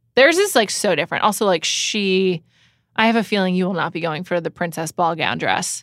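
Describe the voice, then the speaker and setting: A woman with an American accent uses an ordinary speaking voice at a medium pitch and fairly quick pace, with ordinary pitch variation. The recording is very clean, dry and close, with no echo and a silent background. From New York City. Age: 30s. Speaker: podcast host. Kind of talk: casual chat. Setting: studio.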